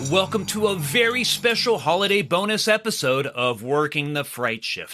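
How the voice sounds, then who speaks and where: A man speaks with a high pitch and very wide pitch swings. Music plays in the background. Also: moderate pace. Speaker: podcast host. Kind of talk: horror podcast narration.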